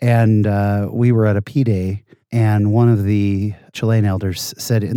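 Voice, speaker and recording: A man talks in an ordinary speaking voice with an American accent, his pitch fairly low and his intonation fairly even. The recording is very clean, with a silent background. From San Jose, California. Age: 40s. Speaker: podcast host and stand-up comedian. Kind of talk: casual interview, telling stories.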